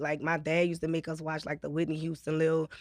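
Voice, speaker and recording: Someone female is talking. She goes at a very fast pace. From Atlanta, then New Orleans from high school. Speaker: rapper. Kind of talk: casual podcast interview.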